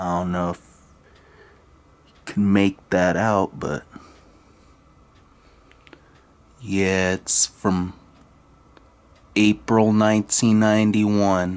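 A man speaks at a very slow pace in a monotone, flat intonation with a fairly low pitch, leaving long, frequent pauses. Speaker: product reviewer. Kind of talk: casual review demonstration. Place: home room. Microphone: phone near.

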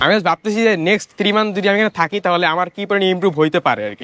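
Recorded in a dry, close sound with no echo, a man speaks in a high voice with ordinary pitch variation. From Bangladesh, Madaripur. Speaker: student. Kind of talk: testimonial. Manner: halting.

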